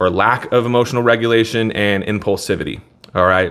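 A man talks at a fairly quick pace. His intonation stays fairly even. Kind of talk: casual vlog commentary.

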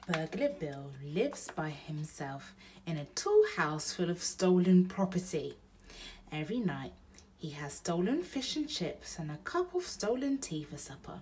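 A woman's fairly low, somewhat breathy voice at a fairly slow pace, with very wide pitch swings and big swings in loudness, over light background noise. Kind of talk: children's story read-aloud.

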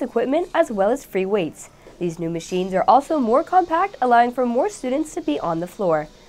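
A woman's fairly high voice at a fairly quick pace, with very wide pitch swings. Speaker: student news anchor. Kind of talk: news reading. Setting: studio. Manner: formal; steady, polished broadcast delivery. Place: studio.

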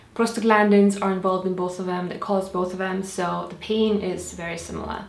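A woman is heard with audible room echo. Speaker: health vlogger. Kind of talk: tutorial. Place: home room.

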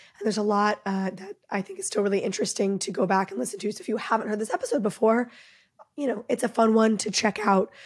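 Speaking at a very fast pace, a woman with a fairly high, somewhat breathy voice shows ordinary pitch variation. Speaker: podcast host. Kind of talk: casual intro monologue. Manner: quick.

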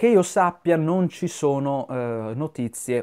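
The man has a dark, mellow tone and ordinary pitch variation. His background is quiet. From Italy. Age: 30s. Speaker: YouTuber film commentator. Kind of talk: video monologue commentary. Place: home room. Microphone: lapel.

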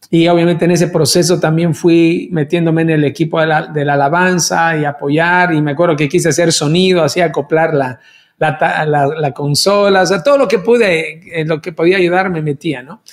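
A high-pitched man at a moderate pace, fairly even in intonation, with hardly any pauses and a quiet background. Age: 50s. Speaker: worship leader; pastor, podcast host. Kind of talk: casual chat. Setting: video call. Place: studio.

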